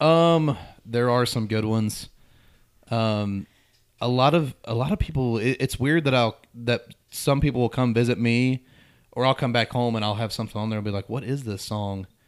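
Against a silent background in a very clean recording, a man with an American accent speaks at medium pitch and a moderate pace, with ordinary pitch variation and an unremarkable speaking voice. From southwest Ohio, near Middletown. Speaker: country music singer-songwriter. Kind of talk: casual chat.

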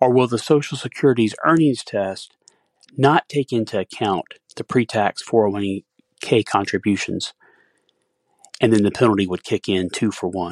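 A man speaks at a moderate pace in a fairly low voice with ordinary pitch variation, leaving long, frequent pauses, in a dry, close recording with no echo and a quiet background. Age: 60s. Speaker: listener with a recorded question. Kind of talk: recorded voicemail question.

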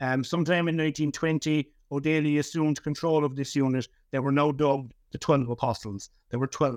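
This man has a fairly high pitch and a Cork accent, speaking at a fairly quick pace with fairly even intonation. The background is quiet. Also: dry, close sound with no echo. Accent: Cork Irish. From Ireland, West Cork. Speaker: historian and author. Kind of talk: interview. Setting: remote recording from Cork. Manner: halting, frequent repetitions.

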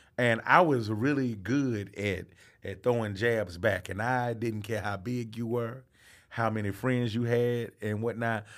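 A man speaks at a medium pitch. His intonation stays fairly even. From US South, Atlanta, Georgia. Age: 30s. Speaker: comedian. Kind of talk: casual chat. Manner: halting.

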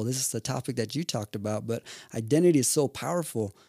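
A man with an American accent speaks at medium pitch in a dark, mellow tone, the recording very clean with a silent background and a dry, close sound with no echo. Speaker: mental health professional. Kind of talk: casual interview chat. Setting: studio.

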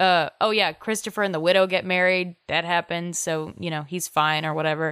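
A woman with a normal speaking voice talks at a moderate pace, her pitch fairly low and her intonation fairly even. The recording is very clean and dry, close with no echo and a silent background. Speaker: podcast co-host. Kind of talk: casual chat.

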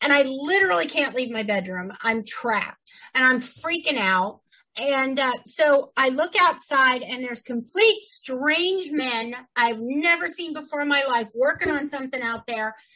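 Raising and projecting her high-pitched voice, a woman speaks fairly slowly with lively intonation and a bright, sharp tone. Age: 50s. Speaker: podcast co-host. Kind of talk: casual chat. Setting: home studio.

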